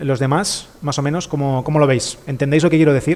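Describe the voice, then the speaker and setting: A man speaks at a very fast pace, his fairly high voice holding a fairly even intonation. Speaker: trading streamer. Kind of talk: live stream tutorial.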